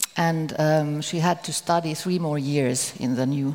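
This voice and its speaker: Someone with a Finnish accent speaks at a fairly slow pace. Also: woman. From Finland. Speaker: author.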